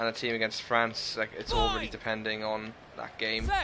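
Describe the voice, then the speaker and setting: A man at a medium pitch and fairly quick pace, with noticeable background noise. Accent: Welsh. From Wales. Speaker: gaming livestreamer. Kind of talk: casual livestream chat with game commentary. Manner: loud.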